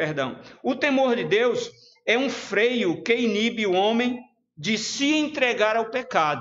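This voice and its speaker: This man's voice sits extremely high and moves with lively intonation, at a very slow pace. His loudness stays very even, and audible room echo surrounds him. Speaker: preacher. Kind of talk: sermon. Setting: church livestream.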